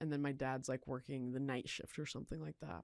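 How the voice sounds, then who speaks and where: A woman speaks in an American accent at a very deep, low pitch. Her pitch varies in an ordinary way on a very clean recording with a silent background. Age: 20s. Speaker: recovering addict sharing her story. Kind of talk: testimony. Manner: casual, filler-heavy.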